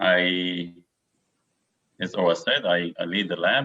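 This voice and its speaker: A man with a very deep, low pitch speaks with an Israeli accent. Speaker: neuroscientist. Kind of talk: lecture. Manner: halting.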